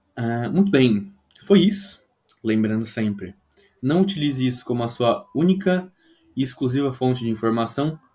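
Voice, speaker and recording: Long, frequent pauses break up a man's moderately paced speech, his somewhat breathy voice dark and mellow in tone with lively intonation. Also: medium pitch for a man. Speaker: English tutor. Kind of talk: video lesson.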